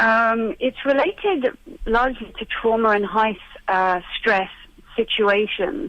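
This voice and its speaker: A woman with a British accent, a fairly high pitch, ordinary pitch variation, and a fairly slow pace. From UK. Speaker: therapist. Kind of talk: radio interview.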